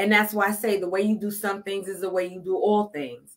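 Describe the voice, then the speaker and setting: A woman speaks with a Brooklyn accent. Her pitch is medium. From Brooklyn, New York. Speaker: life coach. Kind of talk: podcast interview.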